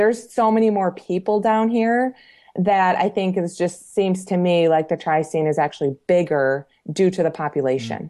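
A woman's fairly low, dark, mellow voice with an American accent, lively intonation and a moderate pace over a quiet background. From Michigan, US Midwest. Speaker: triathlete and coach. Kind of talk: interview.

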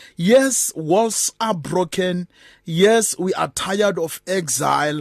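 A man speaks with a high pitch and lively intonation. The sound is dry and close with no echo, over a quiet background. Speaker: bishop, guest preacher. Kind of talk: fervent prayer. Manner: earnest, impassioned.

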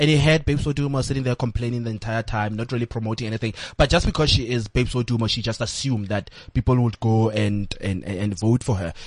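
This man talks at a very fast pace. His voice sits at a medium pitch. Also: ordinary pitch variation. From South Africa, rural village. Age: 30s. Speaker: entertainment commentator and blogger. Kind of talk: interview. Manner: halting, many fillers and repetitions.

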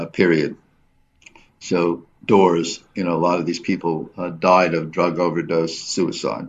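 A man's very deep, low voice at a very slow pace. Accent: New York. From US, New York City. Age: 70s. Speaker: photographer and artist. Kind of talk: radio interview. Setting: studio. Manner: halting.

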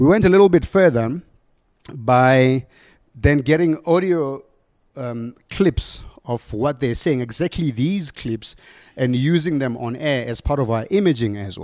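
A man with a South African accent at medium pitch, lively intonation and big swings in loudness, over a quiet background. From South Africa, Limpopo. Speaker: radio station manager. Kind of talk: conference talk. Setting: stage with audience. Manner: halting, many repetitions.

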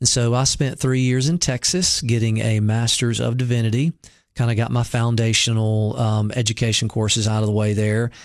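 Against a quiet background, a man in a Southern US accent talks at a moderate pace and medium pitch, with very even loudness and fairly even intonation. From US South, Mississippi. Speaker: pastor. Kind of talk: interview testimony.

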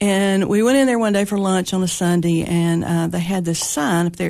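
A woman with a Tennessee accent speaks at a medium pitch with fairly even intonation. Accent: Southern US (Tennessee). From Tennessee, Putnam County (Monterey). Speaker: funeral home owner. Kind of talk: interview.

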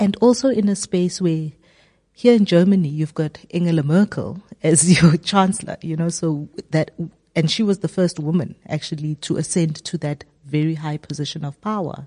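Here a woman speaks at a fairly low pitch with a dark, mellow tone and a somewhat breathy quality. Her pace is moderate, her pitch variation ordinary, and the sound is dry and close with no echo. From South Africa. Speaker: podcast interviewer. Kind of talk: interview.

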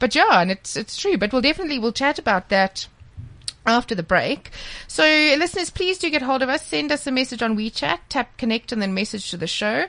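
With a South African accent, a woman with a high voice talks at a fairly quick pace, her pitch swinging very widely. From South Africa, KwaZulu-Natal. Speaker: radio host. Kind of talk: radio interview. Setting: studio.

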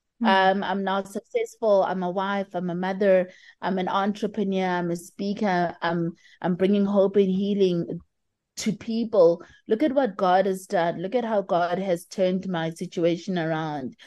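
A woman at medium pitch and a moderate pace, with fairly even intonation, an unremarkable speaking voice, and a quiet background. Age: 30s. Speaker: burn survivor and motivational speaker. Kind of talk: interview.

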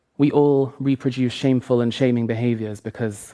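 Fairly even intonation at a moderate pace, in a Lancashire accent. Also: man. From northern England, Lancaster area. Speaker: author and drag performer. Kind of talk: talk.

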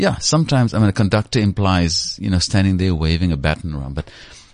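A man with a very deep, low pitch speaks at a very fast pace. His intonation is lively against a quiet background. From South Africa, Cape Flats (Cape Town). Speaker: CEO and former news anchor. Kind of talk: interview. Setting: studio.

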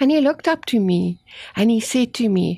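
A woman with a South African accent, fairly high-pitched and lively in intonation, at a fairly slow pace against a quiet background. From South Africa, Afrikaans-speaking. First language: Afrikaans. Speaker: author and cancer survivor. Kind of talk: testimony. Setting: studio.

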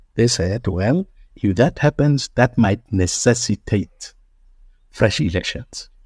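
A man speaks at a very slow pace in a medium pitch, somewhat breathy, with lively intonation. The sound is dry and close with no echo, over a quiet background. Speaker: party leader and pastor. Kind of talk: interview.

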